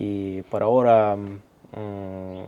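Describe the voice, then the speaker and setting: A man's dark, mellow tone sits at a fairly low pitch. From Russia. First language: Russian (speaking Spanish). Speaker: interviewer. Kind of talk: interview.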